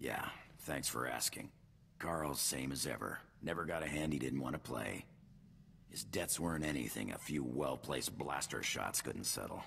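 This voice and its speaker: A man puts on a character voice, drawling at a moderate pace with a very deep, low pitch. Clear background noise can be heard. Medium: video game. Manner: casual, drawling, tags lines with "huh?".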